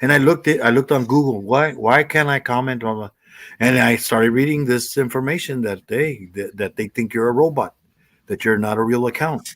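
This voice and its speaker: The recording is very clean over a silent background. Speech runs fairly quickly, with ordinary pitch variation. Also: man, medium pitch for a man. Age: 60s. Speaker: livestream chat participant. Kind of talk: casual chat. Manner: halting, repetitive.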